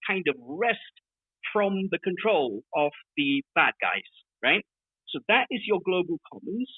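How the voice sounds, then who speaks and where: This man speaks at a high pitch with lively intonation. He talks at a fairly slow pace. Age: 60s. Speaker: development aid advocate. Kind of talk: group discussion. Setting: online audio room. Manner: halting, many repeated words.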